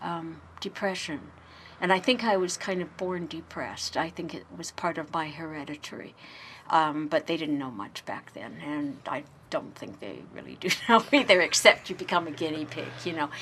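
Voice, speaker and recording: A woman with a plain, everyday voice speaks at a fairly low pitch and a moderate pace, with ordinary pitch variation and big swings in loudness. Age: 60s. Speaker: interviewee sharing life story. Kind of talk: personal interview. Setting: radio interview.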